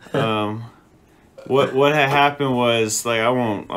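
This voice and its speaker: This man has a plain, everyday voice, speaking at a moderate pace with fairly even intonation. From moved around US: Texas, Utah, Nevada, California, Chicago. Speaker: podcast guest. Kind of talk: casual chat.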